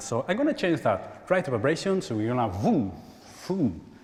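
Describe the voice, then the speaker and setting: With very wide swings in pitch, a man speaks at a moderate pace in a somewhat breathy voice. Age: 40s. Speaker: spiritual healer. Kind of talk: workshop talk. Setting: church stage with audience.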